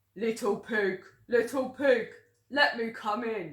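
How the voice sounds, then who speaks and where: In a put-on character voice, the speaker growls at a fairly high pitch and a fairly slow pace. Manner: growling, menacing.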